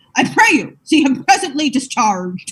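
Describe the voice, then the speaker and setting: A woman puts on a character voice pitched high. Her pitch swings very widely. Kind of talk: Shakespearean stage verse. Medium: stage play.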